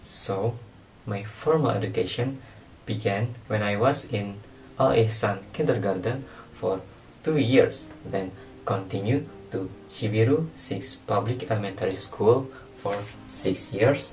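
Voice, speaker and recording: A man speaks at a fairly slow pace and fairly low pitch with ordinary pitch variation and long, frequent pauses, and audible room echo surrounds his voice. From Indonesia, Bandung. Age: 19. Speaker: student. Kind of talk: class presentation.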